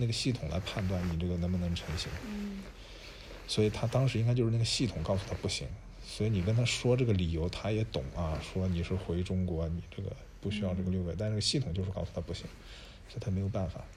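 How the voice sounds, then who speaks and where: Speaking at a very fast pace, a man with a very deep, low pitch and ordinary pitch variation sounds somewhat breathy, with audible room echo. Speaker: podcast co-host, incoming university professor. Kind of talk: casual chat.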